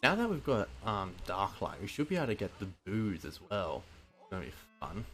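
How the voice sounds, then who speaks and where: Over music in the background, a man with a fairly low pitch speaks at a moderate pace, his pitch swinging very widely and his loudness shifting in big swings. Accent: Australian. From Australia. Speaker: video game streamer. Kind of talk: live gameplay commentary.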